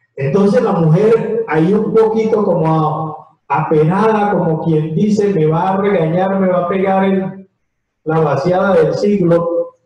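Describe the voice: Amid audible room echo, a man with a fairly high pitch and a dark, mellow tone speaks at a slow pace.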